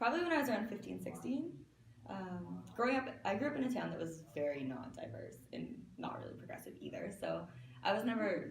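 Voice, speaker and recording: A woman with a Canadian accent at a fairly quick pace, amid noticeable background noise and audible room echo. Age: 20s. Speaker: fashion designer. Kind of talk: interview.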